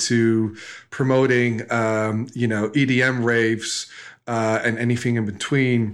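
Delivered at a fairly slow pace, this speech comes in a Dutch accent with monotone, flat intonation. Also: man. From Netherlands. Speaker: e-commerce entrepreneur. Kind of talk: interview. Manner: halting.

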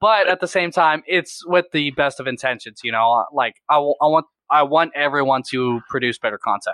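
A man with an American accent uses a normal speaking voice in a fairly high pitch with ordinary pitch variation. He talks at a moderate pace with hardly any pauses. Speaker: reptile YouTuber and educator. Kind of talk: casual chat. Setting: video call.

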